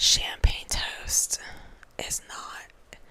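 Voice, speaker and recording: Noticeable background noise behind a woman's whisper. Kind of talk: casual chatty ASMR talk to camera. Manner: soft-spoken, whispery.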